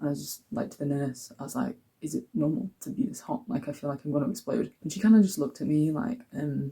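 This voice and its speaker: A man speaks with very wide pitch swings and a fairly high pitch. His tone is dark and mellow, with vocal fry. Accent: English. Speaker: vlogger. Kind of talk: casual vlog talk. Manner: chatty, with fillers.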